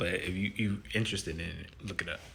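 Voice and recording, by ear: Low-pitched and bright, sharp in tone, a man speaks with vocal fry. His pitch varies in an ordinary way.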